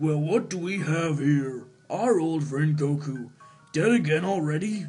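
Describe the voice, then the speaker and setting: A man puts on a character voice at a fairly high pitch, speaking at a moderate pace. Faint music plays in the background. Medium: solo performance.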